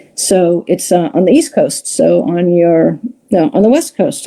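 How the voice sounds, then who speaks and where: Her dark, mellow tone carries vocal fry as a woman speaks at a moderate pace and fairly low pitch, with very wide pitch swings and very even loudness. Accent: American. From New York, Long Island. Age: 60s. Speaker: comedy show producer. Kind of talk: interview. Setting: live stream.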